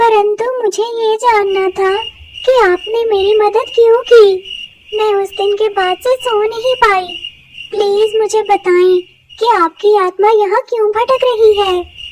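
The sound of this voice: Using a cartoonish character voice, a woman speaks at an extremely high pitch and a fairly slow pace.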